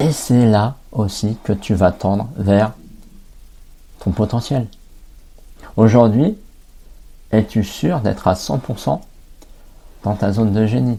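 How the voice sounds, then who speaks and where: Very slowly, a man speaks at a fairly low pitch with ordinary pitch variation. Long pauses come often. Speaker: life coach and podcast host. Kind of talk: podcast monologue. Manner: hesitant, with fillers and repetitions.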